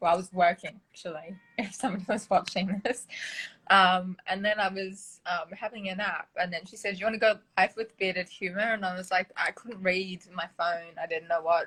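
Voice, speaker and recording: Her tone is bright and sharp, set at a medium pitch, with an Australian accent. This woman keeps her intonation fairly even. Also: moderate pace, big swings in loudness. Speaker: therapist. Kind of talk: casual chat.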